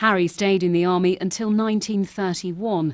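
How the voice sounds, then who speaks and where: A woman speaks in a plain, everyday voice at a medium pitch. Her pace is moderate and the background is quiet. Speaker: TV news reporter. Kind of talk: TV news report narration.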